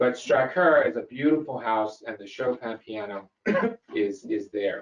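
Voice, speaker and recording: A man with an American accent speaks at a fairly slow pace, with big swings in loudness. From US South (Memphis, Tennessee). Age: 60s. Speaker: host. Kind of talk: lecture.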